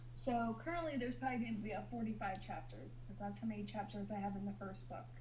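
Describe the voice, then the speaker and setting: Amid noticeable background noise and audible room echo, a woman speaks at a very fast pace. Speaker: novelist streamer reading own book. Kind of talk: casual chat. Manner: halting, tongue-tied.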